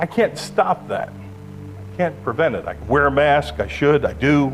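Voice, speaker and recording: A man speaks at a fairly low pitch, with audible room echo and music playing in the background. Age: 60s. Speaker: pastor. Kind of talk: sermon.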